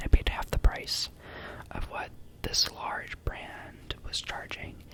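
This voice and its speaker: A man whispering amid noticeable background noise. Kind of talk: whispered ASMR ramble to camera. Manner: whispered, soft-spoken.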